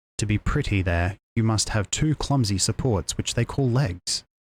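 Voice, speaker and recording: Soft-spoken and somewhat breathy, a man talks at a moderate pace in a fairly low voice with ordinary pitch variation. The recording is very clean, with a silent background and a dry, close sound without echo. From Australia. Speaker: virtual streamer. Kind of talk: bedtime story reading.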